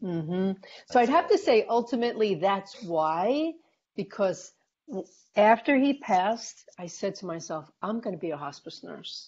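A woman talks at a moderate pace, her pitch swinging very widely and her loudness shifting greatly. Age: 60s. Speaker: hospice nurse. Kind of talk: interview. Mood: calm, reflective. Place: home room. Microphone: earbuds.

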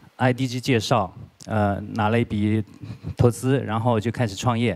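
A man talks with fairly even intonation. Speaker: guest lecturer. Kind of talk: lecture. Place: hall. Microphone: handheld.

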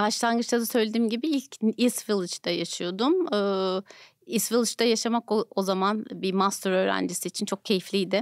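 A woman speaks at a moderate pace with ordinary pitch variation, in a dry sound with no echo over a quiet background. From Turkey. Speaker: nonprofit foundation director; podcast guest. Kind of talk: interview. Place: studio. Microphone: studio mic.

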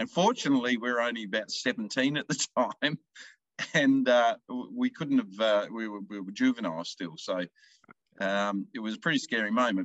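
Speaking at a moderate pace with lively intonation, a man with an Australian accent has a medium pitch, and the sound is dry with no echo over a quiet background. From rural Victoria, Australia. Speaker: country music singer-songwriter. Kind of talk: casual interview. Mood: relaxed, cheerful storytelling. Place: home room. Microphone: video call.

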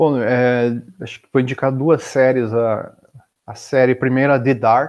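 The voice moves at a fairly slow pace with monotone, flat intonation and big swings in loudness. The background is quiet. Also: man. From Brazil, Curitiba region (Paraná); Paraná, Brazil. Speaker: software developer and entrepreneur; podcast guest. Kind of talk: interview conversation. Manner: halting, many filler words. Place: home room. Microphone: earbuds.

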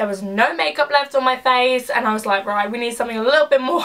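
Speaking with an English accent, the woman has a high-pitched voice. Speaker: beauty vlogger. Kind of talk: casual chat.

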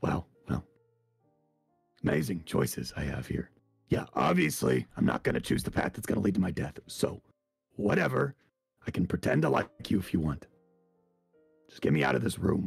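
Over faint background music, a man uses a raspy, very deep, put-on character voice at a moderate pace with long, frequent pauses. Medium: machinima. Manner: sarcastic, dry, sullen; indifferent, cagey.

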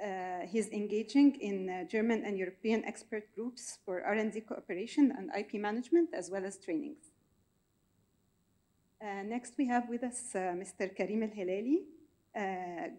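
The woman's voice has a dark, mellow tone at a medium pitch. She moves at a moderate pace with ordinary pitch variation.

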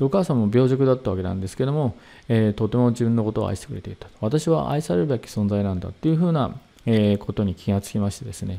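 A man's dark, mellow tone at a very fast pace, with lively intonation. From Saitama, Japan. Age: 60s. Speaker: seminar leader, hypnotherapy and meditation teacher; presenter. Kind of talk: lecture. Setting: online video seminar. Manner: formal, polite, with many fillers.

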